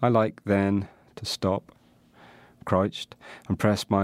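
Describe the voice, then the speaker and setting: Monotone and flat, the voice comes in a Northern Irish accent with a dry, close sound with no echo on a very clean recording with a silent background. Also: man. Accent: Northern Irish (Tyrone). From Northern Ireland. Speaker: poet. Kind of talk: casual chat; poetry reading.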